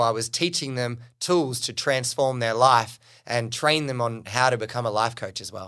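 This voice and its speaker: Delivered in a bright, sharp tone with an Australian accent, a man's medium-pitched speech moves at a moderate pace with hardly any pauses and ordinary pitch variation, on a very clean recording with a silent background. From Australia, New South Wales Central Coast. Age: 30s. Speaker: business coach. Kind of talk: interview conversation.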